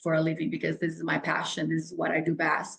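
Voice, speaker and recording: A woman's fairly low voice with a Brazilian Portuguese accent. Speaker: health and fitness coach. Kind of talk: podcast interview. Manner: animated.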